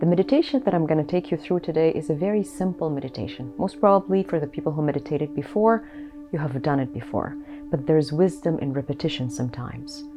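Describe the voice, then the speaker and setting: A woman talks at a very fast pace with lively intonation. Her pitch is very deep and low, and music plays in the background. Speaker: clinical therapist and meditation guide. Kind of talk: casual talk to camera.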